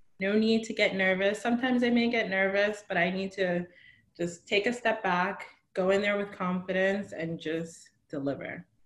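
An unremarkable speaking voice from a woman with an American accent, medium in pitch, ordinary in pitch variation, at a moderate pace. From New Jersey. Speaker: consultant in tech. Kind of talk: interview.

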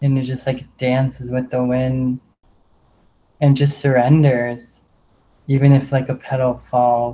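Speaking at a very slow pace, a man holds a medium pitch with monotone, flat intonation. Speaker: spiritual circle participant. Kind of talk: casual chat. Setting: video call.

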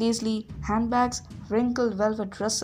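The clip is a reading. It is read aloud in a natural voice.

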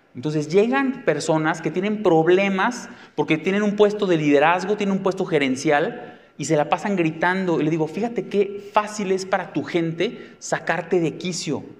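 At a moderate pace and with hardly any pauses, a man speaks in a high, animated voice with ordinary pitch variation. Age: 40s. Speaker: psychotherapist and speaker. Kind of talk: talk to a live audience.

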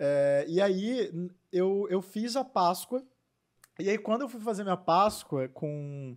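This man's voice is high-pitched for a man. He speaks at a very slow pace. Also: lively intonation, very clean recording, silent background. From Minas Gerais, Brazil. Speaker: confectioner and business owner. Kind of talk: casual interview.

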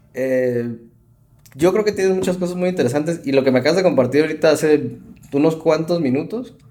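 A man speaks at a fairly quick pace in a fairly high pitch, his tone dark and mellow, with ordinary pitch variation. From Mexico City. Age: 30s. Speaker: podcast host, psychologist. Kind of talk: casual interview.

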